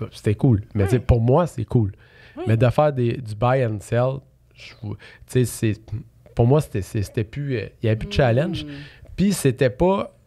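A man talks very slowly in a medium-pitched, dark, mellow voice that is somewhat breathy. His intonation is lively. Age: 30s. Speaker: real estate investor; podcast guest. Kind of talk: casual interview. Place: studio. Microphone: studio mic.

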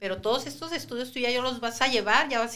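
This woman talks at a fairly quick pace in a high pitch, with a bright, sharp tone and ordinary pitch variation. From Sinaloa, Mexico (Guasave); Sinaloa, Mexico. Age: 50s. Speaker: preschool teacher and cancer survivor; podcast guest. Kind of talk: testimony. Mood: emotional personal illness story. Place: studio. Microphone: studio mic.

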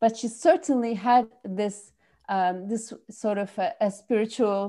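A woman with a French accent speaks in a dark, mellow tone, her pitch varying in an ordinary way. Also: quiet background. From France. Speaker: filmmaker. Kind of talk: interview. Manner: halting. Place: home room. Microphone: earbuds.

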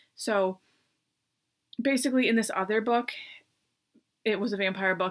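A woman speaks in a bright, sharp tone with an American accent. Her pace is moderate, and the background is quiet. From US. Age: 40s. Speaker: book reviewer. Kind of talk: casual chat. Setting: at home desk. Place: home room. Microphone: webcam.

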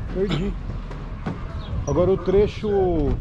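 There is noticeable background noise, and the pitch variation is ordinary. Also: man. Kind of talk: casual vlog chat. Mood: relaxed, mildly annoyed about cap. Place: street. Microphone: phone near.

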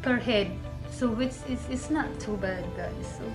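Fairly slow speech from a woman, clear music playing behind her. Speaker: travel vlogger. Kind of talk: casual vlog chat. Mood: cheerful, laughs often. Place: home room. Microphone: phone near.

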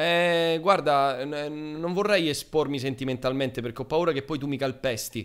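With hardly any pauses, a man with a plain, everyday voice speaks at a moderate pace and ordinary pitch variation against a quiet background. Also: fairly high pitch for a man. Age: 20s. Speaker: streamer. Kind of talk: casual chat. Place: home room. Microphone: studio mic.

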